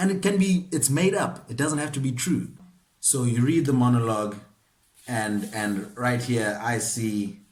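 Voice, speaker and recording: A man talks at a fairly slow pace in a somewhat breathy, medium-pitched voice. His pitch swings very widely. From South Africa, KwaZulu-Natal. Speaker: actor. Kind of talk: acting masterclass talk to camera. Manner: casual, conversational.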